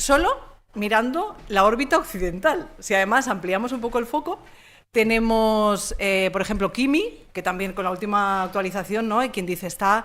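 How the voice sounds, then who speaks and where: On a very clean recording with a silent background, a woman talks in an animated tone with lively intonation. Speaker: communication consultant and trainer. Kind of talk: conference talk. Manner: fast.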